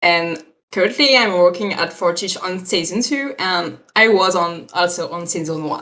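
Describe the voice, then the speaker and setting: A woman with a French accent speaks at a moderate pace in a fairly low voice. Her tone is bright and sharp, with ordinary pitch variation. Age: 20s. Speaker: 3D character effects artist. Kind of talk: casual interview. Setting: live stream video call. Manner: halting, hesitant.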